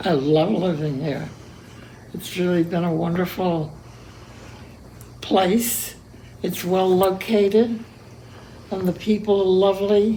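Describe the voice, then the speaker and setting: Amid audible room echo, a woman of medium pitch speaks at a very slow pace with long, frequent pauses and ordinary pitch variation. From Cuba. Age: 80s+. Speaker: centenarian interviewee. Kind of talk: casual interview. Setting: her apartment.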